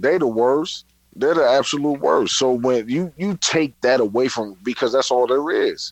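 A man with a New York accent speaks at a moderate pace in a medium pitch, his intonation lively. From New York, Brooklyn. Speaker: podcast guest co-host. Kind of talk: casual chat.

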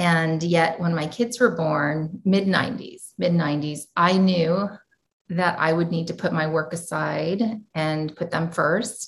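Somewhat breathy speech in a General American accent moves at a very slow pace with fairly even intonation. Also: woman, fairly low pitch for a woman. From US. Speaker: educator and entrepreneur. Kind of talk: interview.

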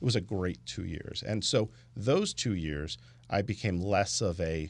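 On a very clean recording with a silent background, a man speaks at a very deep, low pitch. His intonation is lively, and vocal fry runs through it. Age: 40s. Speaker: lawyer. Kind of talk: casual chat. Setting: studio.

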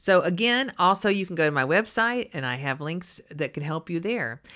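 A woman with a Texas accent, a fairly low pitch and a bright, sharp tone, very wide pitch swings, a moderate pace, and a very clean recording over a silent background. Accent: Texas Southern US. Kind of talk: religious teaching talk.

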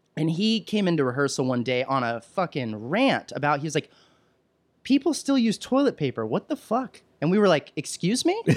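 A man with a high voice and very wide pitch swings. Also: moderate pace, very clean recording, silent background. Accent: American. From Texas, Williamson County near Austin. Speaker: TV producer and comedian. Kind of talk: casual chat.

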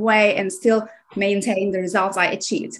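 A woman with a Turkish accent at a moderate pace. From Aegean coast of Turkey. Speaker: nutrition coach. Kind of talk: interview.

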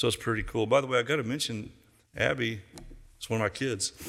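Talking very fast, a man has a medium pitch, ordinary pitch variation and a bright, sharp tone. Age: 70s. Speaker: youth pastor. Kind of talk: sermon.

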